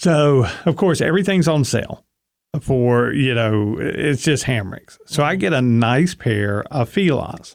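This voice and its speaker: On a very clean recording with a silent background, a man with a plain, everyday voice talks at a fairly slow pace and medium pitch, his intonation lively and his loudness very even. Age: 40s. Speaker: weight loss podcast co-host. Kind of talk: casual chat.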